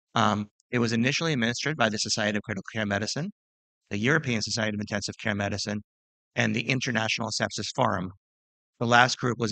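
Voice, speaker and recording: Very fast pace, bright and sharp tone, fairly even intonation, and a dry, close sound with no echo over a quiet background. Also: man. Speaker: physician and sepsis researcher. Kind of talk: lecture.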